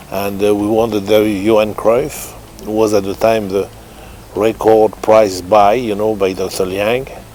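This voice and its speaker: Through noticeable background noise, a man with a French accent talks at a fairly slow pace in monotone, flat intonation. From France. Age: 70s. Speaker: racehorse trainer. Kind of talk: interview. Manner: halting.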